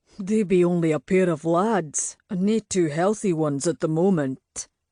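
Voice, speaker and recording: A man's put-on character voice in a Scottish accent, high in pitch with ordinary variation, at a moderate pace against a quiet background. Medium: read story. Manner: jovial, teasing.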